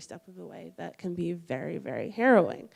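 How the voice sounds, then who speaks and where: A woman speaks at a fairly quick pace in a fairly low pitch, with a normal speaking voice. The recording is very clean, with a silent background. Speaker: student intern. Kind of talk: personal story talk.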